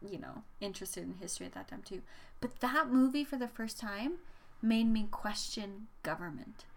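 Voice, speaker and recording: A woman with an Albertan accent, fairly high in pitch, at a moderate pace with lively intonation. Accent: Canadian (Alberta). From central Alberta, Canada. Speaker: podcast co-host, substitute teacher. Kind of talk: casual chat.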